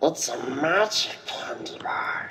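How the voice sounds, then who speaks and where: A raspy, put-on character voice at a middle pitch. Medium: audio drama. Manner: sly, creepy.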